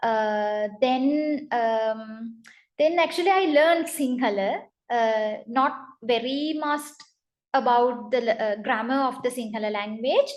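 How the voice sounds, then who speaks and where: With a Tamil accent, a woman speaks very slowly in a high pitch with ordinary pitch variation. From northern Sri Lanka. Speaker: translator. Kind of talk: interview. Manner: halting, many fillers.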